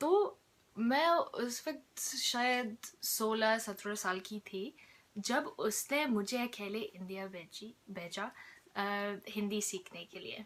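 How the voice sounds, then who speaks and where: A woman speaks at a fairly high pitch with ordinary pitch variation and big swings in loudness. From outside India. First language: not Hindi, learned as teenager (speaking Hindi). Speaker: vlogger. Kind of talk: personal storytelling vlog.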